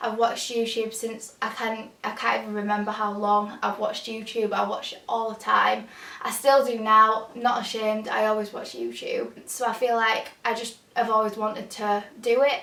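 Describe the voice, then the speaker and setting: A woman with a fairly high pitch, monotone, flat intonation and a moderate pace with hardly any pauses, over noticeable background noise. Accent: strong Yorkshire. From northern England, Huddersfield, Yorkshire. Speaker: lifestyle youtuber and student. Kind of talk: casual Q&A vlog. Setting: home, bedroom.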